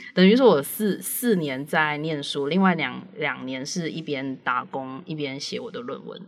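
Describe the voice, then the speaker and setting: A woman with a very deep, low pitch speaks at a fairly slow pace with lively intonation. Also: hardly any pauses, big swings in loudness. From Malaysia. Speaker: editor. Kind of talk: casual chat. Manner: halting.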